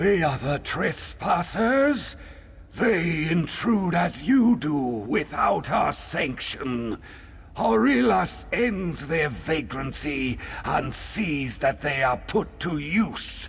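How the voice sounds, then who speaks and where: A man's put-on character voice, fairly high in pitch and very slow, with clear background noise. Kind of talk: regal formal speech. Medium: video game. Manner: haughty, commanding.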